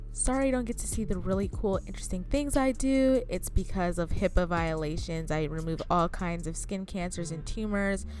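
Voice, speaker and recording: A woman talks at a moderate pace with hardly any pauses. Room echo is audible. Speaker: surgical tech vlogger. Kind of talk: vlog narration. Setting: clinic workplace. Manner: quiet.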